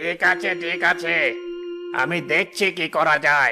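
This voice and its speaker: Over clear background music, a man does a cartoonish character voice, high-pitched and at a fairly slow pace. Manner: gruff, authoritative.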